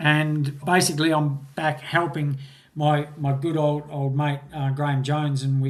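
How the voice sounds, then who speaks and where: The voice is somewhat breathy, with an Australian accent and monotone, flat intonation. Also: man. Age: 60s. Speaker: mountain bike course designer. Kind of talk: interview. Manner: halting, repeats words.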